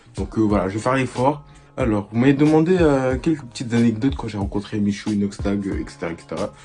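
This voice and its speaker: Over music in the background, a man at medium pitch talks at a very fast pace with lively intonation. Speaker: YouTuber. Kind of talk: casual vlog storytelling. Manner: loud; hesitant, many fillers.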